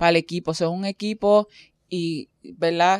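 A woman at a moderate pace and fairly low pitch, in monotone, flat intonation, with a dry, close sound, no echo, and a very clean recording with a silent background. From Caribbean. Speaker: podcast host. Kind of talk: casual chat.

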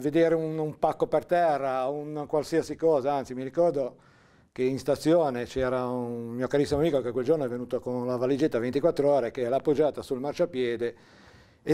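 A man with a fairly high pitch and a dark, mellow tone speaks at a fairly quick pace. His pitch variation is ordinary, and the background is quiet. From Liguria, Italy. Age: 60s. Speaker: interviewee recalling local history; interviewee. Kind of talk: oral history interview. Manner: halting, with fillers. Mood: calm, reflective storytelling. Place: studio.

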